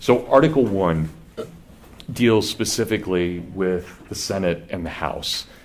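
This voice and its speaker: There's audible room echo as a man talks with a Kansas accent. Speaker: professor. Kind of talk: lecture. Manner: conversational, with false starts.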